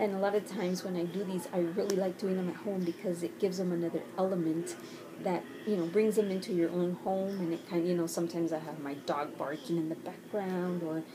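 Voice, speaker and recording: A woman's fairly low voice, fairly quick and fairly even in intonation, over noticeable background noise. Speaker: teacher. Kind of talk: casual talk to camera. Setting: bedroom at home.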